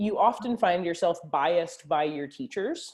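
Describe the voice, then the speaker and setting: Against a quiet background, a woman talks in a fairly low pitch with a dark, mellow tone. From US South, Arkansas. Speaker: neurologist and grappling champion. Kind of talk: casual podcast interview.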